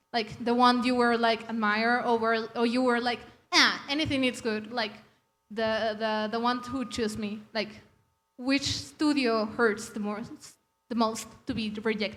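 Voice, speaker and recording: A woman with a non-native accent speaks at a fairly slow pace and fairly high pitch. Her intonation is fairly even. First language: Spanish. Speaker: audience member asking a question. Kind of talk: audience question. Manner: halting.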